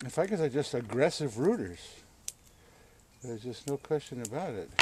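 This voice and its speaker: Somewhat breathy and dark, mellow in tone, a man speaks at a medium pitch and moderate pace with lively intonation. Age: 60s. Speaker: bonsai hobbyist YouTuber. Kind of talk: tutorial. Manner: casual, conversational.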